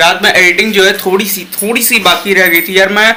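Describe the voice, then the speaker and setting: A man with a high voice speaks in a raised, projected way at a moderate pace. Noticeable background noise runs underneath. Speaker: vlogger. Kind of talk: casual vlog talk. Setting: at home.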